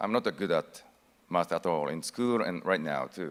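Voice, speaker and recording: A man with a Japanese accent speaks at a fairly slow pace in a very deep, low voice. His pitch swings very widely. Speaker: actor. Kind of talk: conference speech.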